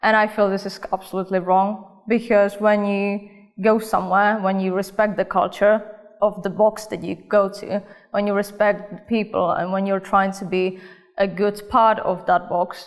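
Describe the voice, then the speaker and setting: A woman speaks with a Czech accent at medium pitch and a moderate pace. Her intonation is monotone and flat. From Czech Republic, Olomouc. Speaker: cosmetics company worker. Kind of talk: interview answers.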